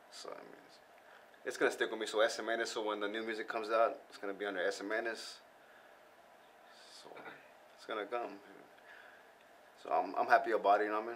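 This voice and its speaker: A man with an American accent, very fast pace, long and frequent pauses, and big swings in loudness. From US West Coast (San Gabriel Valley, Southern California). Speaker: rapper. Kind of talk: casual interview chat. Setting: studio.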